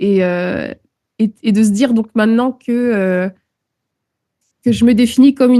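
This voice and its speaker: A woman speaks at a fairly high pitch with a dark, mellow tone, in a dry, close sound with no echo. Her pace is fairly slow and her intonation fairly even. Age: 30s. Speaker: musician and naturalist. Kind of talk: interview. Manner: hesitant, many filler words.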